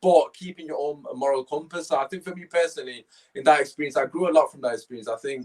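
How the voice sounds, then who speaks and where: Talking at a very fast pace, a man with a fairly high pitch sounds animated, with ordinary pitch variation. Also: dry, close sound with no echo. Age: 20s. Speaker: podcast host. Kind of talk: casual chat.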